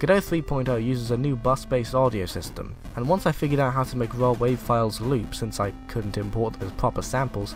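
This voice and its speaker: Music plays behind a man speaking at a fairly quick pace. His pitch sits in the medium range, with ordinary variation. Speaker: indie game developer. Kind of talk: video game devlog narration.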